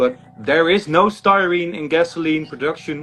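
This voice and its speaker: Here a man speaks with a Dutch accent. His pitch is fairly high. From Netherlands. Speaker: critic. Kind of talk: heated debate. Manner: halting.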